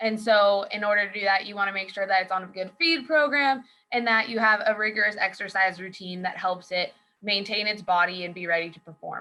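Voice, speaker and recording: A woman talks at a fairly quick pace in a normal speaking voice. Her pitch sits in the medium range. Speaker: author and rodeo athlete. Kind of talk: presentation. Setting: video call.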